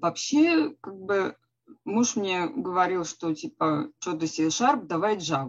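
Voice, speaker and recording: Her pitch swings very widely. This woman talks at a very slow pace. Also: medium pitch for a woman. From Russia, Smolensk. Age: 40s. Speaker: career-changer programmer, former psychologist. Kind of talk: interview. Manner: halting.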